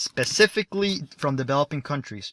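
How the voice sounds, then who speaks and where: Speaking at a fairly slow pace, a man has a bright, sharp tone in a dry, close recording with no echo. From Mexico (Mexico City). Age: young. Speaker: financial advice YouTuber. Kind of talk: channel introduction monologue. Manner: casual, self-correcting.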